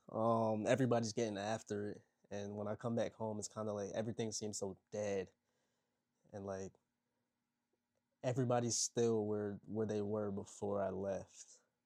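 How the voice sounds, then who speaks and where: With a dark, mellow tone and flat, monotone intonation, a man speaks quietly at a fairly low pitch and a moderate pace, leaving long, frequent pauses. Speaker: motivational content creator. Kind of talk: casual vlog monologue. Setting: at home, people sleeping next door. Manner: quiet, kept low.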